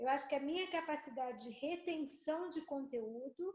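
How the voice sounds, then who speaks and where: Her pitch is high and varies in an ordinary way as this woman speaks. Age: 60s. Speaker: participant in live chat. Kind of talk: casual chat. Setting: video call.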